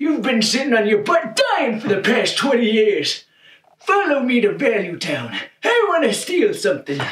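In a put-on character voice, a man speaks at an extremely high pitch with very wide pitch swings. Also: moderate pace. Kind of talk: comic overacting. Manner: excitable, brash, impatient.

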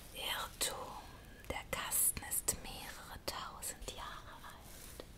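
The speaker is a woman in a whisper. Her delivery moves very slowly. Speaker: ASMR creator. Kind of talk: whispered bedtime story reading. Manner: whispered, soft. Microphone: studio mic.

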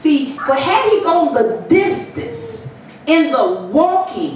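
Music plays in the background amid audible room echo. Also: woman. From US Midwest, Chicago. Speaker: pastor. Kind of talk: sermon building to an urgent exhortation, hammering repeated commands. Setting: church with congregation. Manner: insistent, rhythmic repetition of short imperative phrases; emphatic, escalating call-and-response style build. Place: church.

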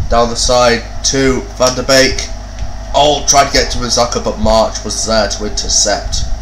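Noticeable background noise sits behind this man's voice. He speaks at a fairly slow pace. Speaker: gaming YouTuber. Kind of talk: sports commentary. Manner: animated, rising excited play-by-play with exclamations; casual, swears freely.

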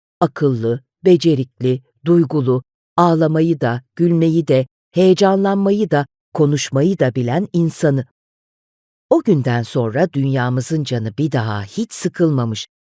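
Very deep and low in pitch, a woman speaks at a very slow pace in a theatrical, warm, dark and mellow tone with lively intonation, the sound dry and close with no echo. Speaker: audiobook narrator. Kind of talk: dramatic audiobook narration, reflective and storytelling. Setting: studio. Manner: expressive, measured and theatrical; warm storytelling tone, with shifts in pace.

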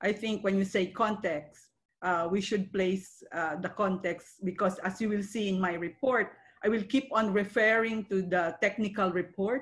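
Somewhat breathy, the voice moves at a fairly slow pace with fairly even intonation. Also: woman, medium pitch for a woman. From Philippines. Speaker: pediatrician; presenter. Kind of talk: webinar presentation. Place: home room. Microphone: video call.

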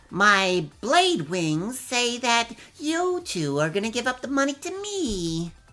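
In a put-on character voice, the speaker goes at a fairly slow pace with a fairly high pitch and very wide pitch swings while music plays in the background. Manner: mock threatening.

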